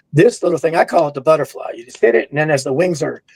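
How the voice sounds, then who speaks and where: An American accent comes through at a very fast pace. Pitch varies in an ordinary way. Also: man. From Kentucky, US South. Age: 60s. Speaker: drum educator. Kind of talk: interview.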